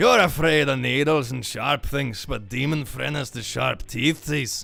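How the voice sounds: In a put-on character voice with a Scottish accent, a man speaks fairly slowly at a medium pitch. His voice is raspy, with light background noise behind it.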